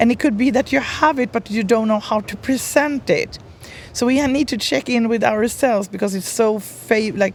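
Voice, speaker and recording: A woman's fairly high voice with a Swedish accent, amid noticeable background noise. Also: ordinary pitch variation, moderate pace. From Sweden. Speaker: brand strategist. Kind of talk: podcast interview.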